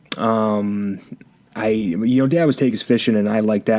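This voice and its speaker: This man has a fairly low pitch. He speaks with an Upper Midwest accent. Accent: Upper Midwest American. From Michigan. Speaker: podcast co-host. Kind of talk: casual chat. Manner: halting.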